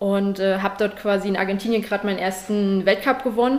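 An unremarkable speaking voice from a woman, medium in pitch, fairly quick and fairly even in intonation. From Saxony, Germany (Leipzig). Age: 20s. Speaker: judo athlete. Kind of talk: interview.

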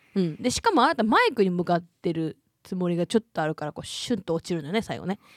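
A woman talks at a very fast pace with lively intonation and a medium pitch. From Hyogo, Japan. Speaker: podcast co-host. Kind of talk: casual chat. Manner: hearty belly laugh.

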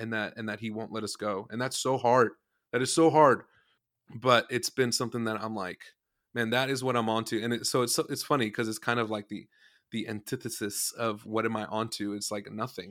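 At a fairly quick pace, a man speaks in a normal speaking voice at a medium pitch with fairly even intonation, in a very clean recording with a silent background. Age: 20s. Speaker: worship leader and band musician. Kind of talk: casual interview chat.

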